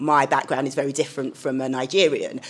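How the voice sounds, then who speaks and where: Speaking at a fairly quick pace, a woman with a London accent has a very deep, low pitch. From London, England. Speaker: communications director. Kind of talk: panel discussion.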